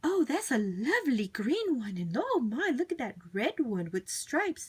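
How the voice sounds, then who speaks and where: A woman puts on a character voice at a high pitch, speaking at a moderate pace with very wide pitch swings. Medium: read story. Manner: gushing, fond.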